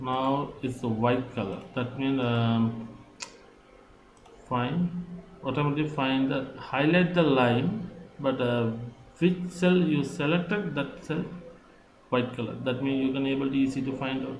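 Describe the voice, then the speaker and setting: With a non-native accent, a man speaks at a fairly slow pace and medium pitch, leaving long, frequent pauses, amid noticeable background noise and audible room echo. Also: ordinary pitch variation. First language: not English. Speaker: software tutorial maker. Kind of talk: tutorial. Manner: halting.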